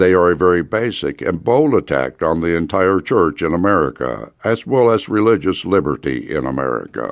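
A man talks at a moderate pace with a very deep, low pitch, vocal fry and a solemn tone. His pitch swings very widely and he hardly pauses at all. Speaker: audiobook narrator. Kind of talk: rally speech, urgent sermon-like exhortation read from a book. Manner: urgent, forceful, impassioned; solemn, preacher-like, building emphasis.

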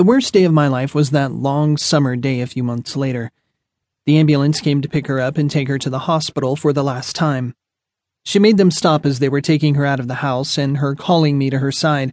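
A plain, everyday voice moves at a fairly quick pace with fairly even intonation over a quiet background. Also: man, fairly high pitch for a man. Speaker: audiobook narrator. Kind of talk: audiobook reading of a first-person memoir. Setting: studio.

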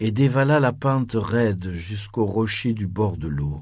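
Over a quiet background, a man talks very slowly in a soothing, dark, mellow tone with very wide pitch swings. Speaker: audiobook narrator. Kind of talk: bedtime story, scripted narration read aloud. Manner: slow, soothing, hushed storytelling pace; gently expressive, voicing characters with shifts in tone.

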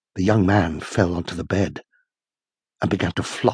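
The sound is dry and close, with no echo. Delivery is somewhat breathy, at a moderate pace with fairly even intonation. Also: man. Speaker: audiobook narrator. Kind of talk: dramatic audiobook narration of horror/sci-fi fiction. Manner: suspenseful, vivid, building tension with changes of pace.

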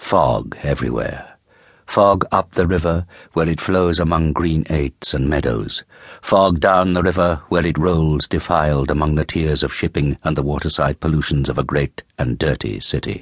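A man's theatrical, very deep and low voice with vocal fry, ordinary pitch variation and a moderate pace. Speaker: audiobook narrator. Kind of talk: dramatic audiobook narration of Dickens, atmospheric and richly descriptive. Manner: measured, vivid, theatrical.

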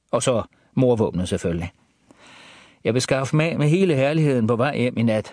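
An ordinary speaking voice from a man, medium in pitch, at a moderate pace with lively intonation over a quiet background. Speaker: audiobook narrator. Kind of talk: audiobook reading of a first-person crime thriller. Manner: hushed, tense, calculating inner monologue.

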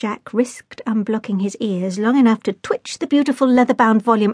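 What you hear is plain reading aloud.

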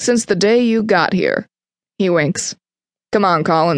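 The pitch moves in an ordinary way through this plain reading aloud. Nothing but quiet sits behind it.

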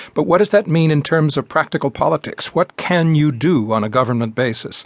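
In a dry, close recording with no echo, a man with an ordinary speaking voice talks at a moderate pace in a fairly high pitch, his intonation lively. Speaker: radio host. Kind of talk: interview.

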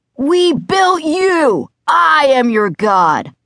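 Bellowing in a put-on character voice, the speaker has a fairly high pitch and very wide pitch swings.

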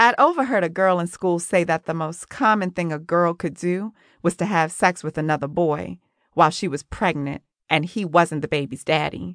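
A woman with a fairly low pitch speaks at a moderate pace in an animated tone, with ordinary pitch variation. The sound is dry and close with no echo, over a quiet background. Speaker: audiobook narrator. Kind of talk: dramatic first-person audiobook narration. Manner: gritty, sassy, street-smart, confessional; animated, with dry, sarcastic bite.

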